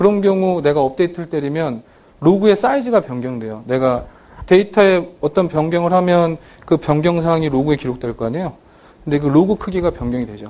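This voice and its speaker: Big swings in loudness mark a man's lively intonation as he talks at a fairly quick pace with a dark, mellow tone and a fairly high pitch. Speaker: database software presenter. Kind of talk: technical conference talk. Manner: fast.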